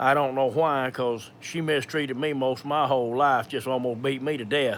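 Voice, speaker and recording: A man at medium pitch in a strong Georgia accent, with monotone, flat intonation. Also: moderate pace. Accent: thick Georgia. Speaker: video creator sharing personal medical experience. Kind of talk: live Q&A with personal testimony. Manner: halting, many fillers and repetitions.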